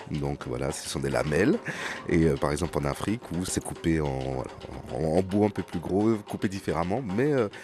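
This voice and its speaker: At a moderate pace, a man with a very deep, low pitch speaks with lively intonation amid noticeable background noise. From French Guiana / Haiti. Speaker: journalist. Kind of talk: radio feature, casual recollection.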